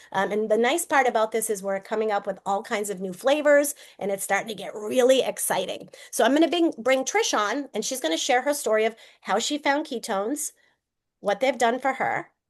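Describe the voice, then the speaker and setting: Talking at a fairly quick pace, a woman with a Boston accent has a fairly high pitch and ordinary pitch variation. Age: 50s. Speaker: network marketing presenter. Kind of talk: sales pitch.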